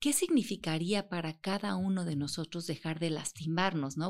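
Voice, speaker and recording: A woman with a normal speaking voice, a fairly low pitch and ordinary pitch variation, against a quiet background. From Mexico. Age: 50s. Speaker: author and self-knowledge teacher. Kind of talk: interview.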